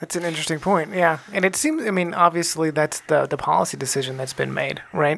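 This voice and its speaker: With an American accent, the speaker moves at a fairly quick pace with hardly any pauses, over noticeable background noise. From Texas. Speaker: podcast co-host. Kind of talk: casual chat.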